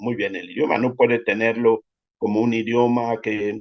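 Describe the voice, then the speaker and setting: A man with a Cameroonian accent talks at a fairly slow pace. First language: Yambasa (speaking Spanish). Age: 50s. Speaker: storyteller and writer. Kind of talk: interview. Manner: halting.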